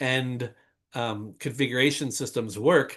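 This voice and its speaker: Against a quiet background, a man at medium pitch talks in an unremarkable speaking voice with ordinary pitch variation. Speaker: conference speaker on technical documentation. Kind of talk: webinar talk.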